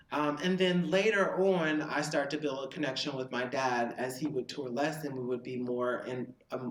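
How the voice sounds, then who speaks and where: Noticeable background noise sits behind this man. He speaks with an American accent at a moderate pace. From US South (Tennessee). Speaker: podcast co-host. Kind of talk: casual chat.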